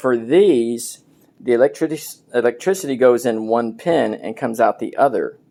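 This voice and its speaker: Here a man with a medium pitch and a dark, mellow tone speaks at a moderate pace with ordinary pitch variation. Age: 60s. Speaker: DIY homeowner video maker. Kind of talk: tutorial. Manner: casual, halting with fillers.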